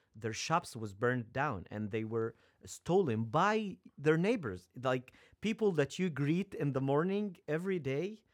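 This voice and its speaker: Here a man with an Egyptian accent speaks at a fairly slow pace. His fairly high voice swings very widely in pitch. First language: Arabic. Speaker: seminary student and former pharmacist. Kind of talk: casual interview chat. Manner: nervous.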